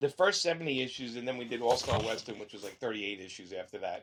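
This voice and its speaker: Talking at a very fast pace in a strong Brooklyn accent, a man shows very wide pitch swings and vocal fry. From Brooklyn, New York. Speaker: comic book writer. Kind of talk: interview. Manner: rough-sounding.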